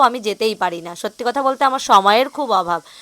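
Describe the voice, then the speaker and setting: A woman speaks with a fairly high pitch and a bright, sharp tone. Her intonation is lively. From West Bengal, South Dinajpur. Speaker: vlogger. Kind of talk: casual vlog narration. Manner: chatty.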